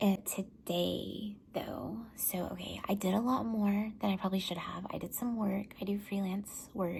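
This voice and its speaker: Hardly any pauses break up this fairly slow speech. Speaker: person with multiple sclerosis vlogging treatment. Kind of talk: casual talk to camera. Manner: hesitant, many pauses.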